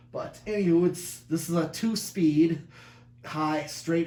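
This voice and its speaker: Fairly slow, somewhat breathy male speech in audible room echo. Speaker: ceiling fan collector and video maker. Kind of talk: casual product demo. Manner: halting, many fillers.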